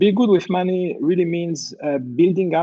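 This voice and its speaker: A man with a French accent speaks at a moderate pace. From France. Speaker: company CEO. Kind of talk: panel discussion.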